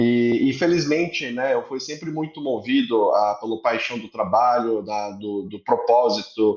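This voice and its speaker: This man talks in a Korean accent. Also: quiet background. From Korea, then Brazil from age 10. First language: Korean (speaking Portuguese). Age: 30s. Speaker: entrepreneur, company executive. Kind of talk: podcast interview. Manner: halting, many fillers.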